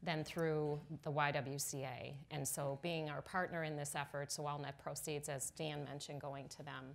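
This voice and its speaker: Her voice sits at a very deep, low pitch for a woman, moving at a moderate pace with fairly even intonation. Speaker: panelist. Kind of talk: panel talk. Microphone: lapel.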